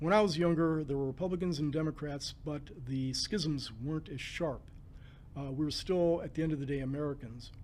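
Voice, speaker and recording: Audible room echo surrounds a man who talks fairly quickly at a fairly high pitch with fairly even intonation. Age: 70s. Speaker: civil rights commissioner and labor lawyer. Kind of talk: interview conversation. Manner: halting with frequent fillers.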